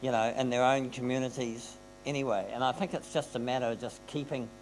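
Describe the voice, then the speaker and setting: Fairly quick speech with a New Zealand accent. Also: man. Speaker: panelist. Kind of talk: panel discussion. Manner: animated.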